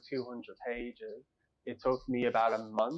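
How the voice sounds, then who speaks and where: A man is speaking with an Irish accent. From Ireland, North Dublin. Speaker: author. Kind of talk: interview.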